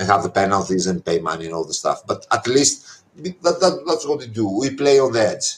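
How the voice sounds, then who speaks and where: A man with a Greek accent, at a moderate pace, with very wide pitch swings. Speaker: anarchist activist. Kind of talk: interview.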